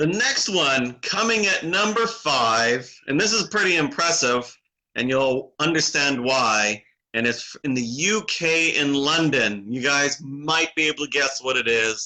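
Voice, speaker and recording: With a normal speaking voice, a man talks at a fairly slow pace and fairly high pitch, with lively intonation and very even loudness. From Canada. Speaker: awards show co-host. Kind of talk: live stream awards announcement. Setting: live online broadcast.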